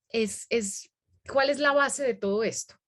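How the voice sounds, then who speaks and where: A woman's high-pitched voice at a fairly slow pace. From Colombia, Medellín. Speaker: educational consultant and workshop presenter. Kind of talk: webinar lecture.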